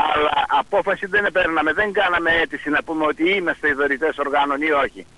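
Fairly quick, fairly even speech from a man with a fairly high pitch, over noticeable background noise. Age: 60s. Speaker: blood donor association representative. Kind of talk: TV interview. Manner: halting.

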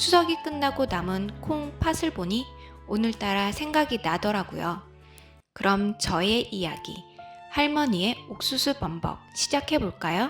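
Over background music, a woman at medium pitch speaks at a fairly slow pace with very wide pitch swings. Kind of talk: friendly channel intro to listeners.

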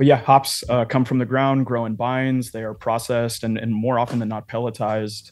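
The pace sits at a moderate speed. Monotone, flat intonation runs throughout. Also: man. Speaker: brewery owner; guest. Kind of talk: casual chat. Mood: relaxed, explanatory. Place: home room. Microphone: studio mic.

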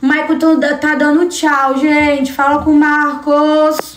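Noticeable background noise lies under a woman's high-pitched voice. Her intonation is monotone and flat. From Brazil, São Paulo coast (Guarujá). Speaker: livestreamer. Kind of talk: casual livestream chat with viewers. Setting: live stream.

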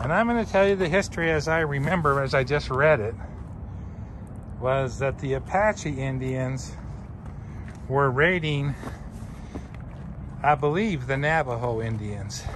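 A man speaks at a fairly slow pace with lively intonation and long, frequent pauses. The sound is dry with no echo, but background noise is noticeable. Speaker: travel vlogger. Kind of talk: casual vlog chat. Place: open country. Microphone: phone near.

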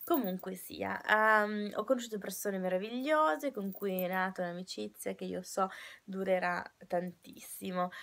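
Speaking at a fairly slow pace, a woman with a medium pitch uses lively intonation. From Italy, Turin; Italy. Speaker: au pair vlogger. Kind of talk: casual vlog monologue. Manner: halting, many fillers and restarts. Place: home room. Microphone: webcam.

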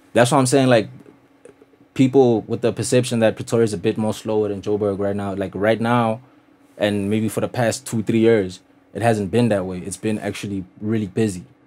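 Fairly low in pitch, a man talks at a fairly quick pace with fairly even intonation. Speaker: podcast guest. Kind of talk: interview answer. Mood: relaxed, earnest. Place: studio. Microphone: studio mic.

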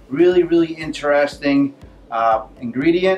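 A man talks. Behind him, music can be heard. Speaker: cooking channel host. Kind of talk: cooking show intro. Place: kitchen.

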